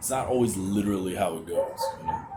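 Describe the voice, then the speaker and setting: Audible room echo and noticeable background noise surround a man who speaks at a moderate pace. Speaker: vlogger. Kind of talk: personal vent vlog. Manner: halting; pitch rises when anxious.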